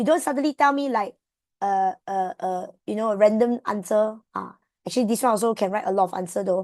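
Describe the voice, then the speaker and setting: A woman with a Malaysian accent talks at a fairly quick clip with lively intonation. The sound is dry and close with no echo, over a quiet background. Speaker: tutor. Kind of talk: online tutoring class. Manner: fast.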